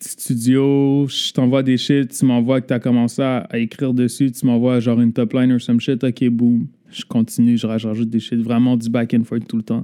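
Medium-pitched male voice, dark and mellow, in monotone, flat intonation at a moderate pace with hardly any pauses. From Laval, Quebec. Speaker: music producer. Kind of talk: casual interview.

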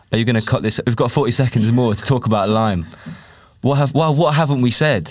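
Very fast speech with very even loudness and ordinary pitch variation comes through noticeable background noise. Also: man, medium pitch for a man. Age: 20s. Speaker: student podcast host. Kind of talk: casual interview. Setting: studio.

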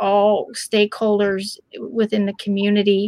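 Recorded with a dry, close sound and no echo, a woman with an American accent talks at a fairly slow pace in a fairly high voice. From Pennsylvania, Lancaster County. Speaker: bullying prevention advocate. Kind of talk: interview. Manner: hesitant, many fillers.

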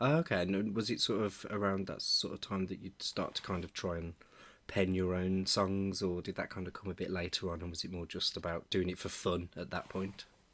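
Flat, monotone intonation at a fairly quick pace, with a Birmingham accent. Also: man, very deep, low pitch for a man. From Birmingham, England. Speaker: podcast host. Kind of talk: scripted intro; casual interview.

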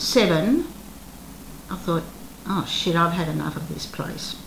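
A woman speaks with an Australian accent and lively intonation. Audible room echo surrounds her voice. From Australia, Melbourne. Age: 70s. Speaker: retired actress. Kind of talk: interview.

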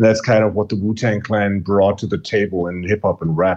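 A man with a German accent talks at a fairly low pitch. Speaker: podcast co-host. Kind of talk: casual chat.

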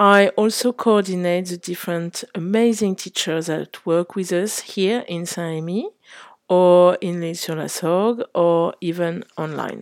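In a French accent, a woman speaks very slowly at a fairly low pitch with fairly even intonation. The recording is very clean, with a silent background. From Paris, France. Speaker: English teacher and head of pedagogy at a language school. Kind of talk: self-introduction.

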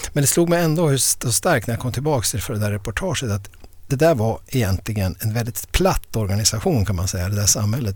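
This man's voice is somewhat breathy. He talks fairly quickly, his intonation lively. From inland Västerbotten, northern Sweden. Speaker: historian of ideas and professor. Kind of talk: podcast interview. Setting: studio. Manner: halting, frequent repetitions.

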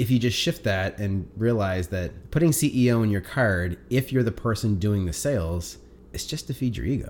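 A man with a Canadian accent talks at a moderate pace in an ordinary speaking voice. His pitch is fairly low and his intonation lively. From Atlantic Canada. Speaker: sales coach. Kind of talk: casual interview.

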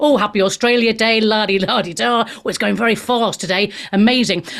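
A woman speaks at medium pitch and a fairly quick pace, with fairly even intonation. Her tone is fairly bright, with some vocal fry.

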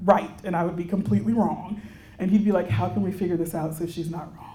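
A Texan accent amid noticeable background noise and audible room echo. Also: woman. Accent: Texan American English. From Texas, Houston. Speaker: religious sister and counselor. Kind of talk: retreat keynote talk.

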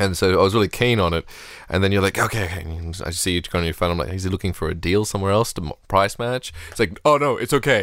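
Speaking very fast with an Australian accent, a man uses a very deep, low pitch and ordinary pitch variation. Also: very clean recording, silent background. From Australia, Sydney. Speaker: podcast host. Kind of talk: casual chat.

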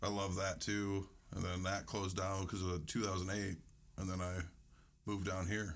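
A man with a very deep, low voice and an American accent speaks at a very even loudness in a monotone, flat intonation, with long, frequent pauses. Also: moderate pace. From US South, northern Louisiana. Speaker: podcast guest. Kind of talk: casual chat.

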